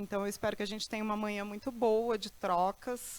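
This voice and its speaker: A woman at a medium pitch speaks at a moderate pace with fairly even intonation and a bright, sharp tone. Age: 40s. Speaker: lecturer. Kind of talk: lecture.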